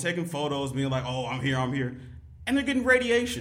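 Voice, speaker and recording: Lively intonation over audible room echo. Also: man. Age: 20s. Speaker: podcast guest. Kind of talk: casual chat.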